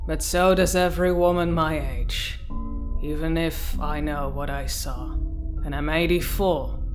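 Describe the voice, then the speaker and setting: A woman puts on a growling, gravelly character voice at a fairly slow pace. Clear background noise can be heard. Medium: audio drama.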